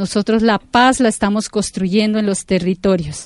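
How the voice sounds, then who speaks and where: An unremarkable speaking voice from a woman, fairly high in pitch and fairly even in intonation, at a fairly slow pace, dry and close with no echo, over a quiet background. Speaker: farmers' leader. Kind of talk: interview testimony.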